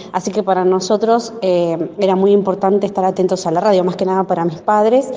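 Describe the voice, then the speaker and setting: A woman's medium-pitched voice, fairly quick and monotone with flat intonation, amid noticeable background noise. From Argentina, Río Negro (Ingeniero Jacobacci, línea sur). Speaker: teacher (course participant). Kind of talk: personal anecdote in a recorded class exercise.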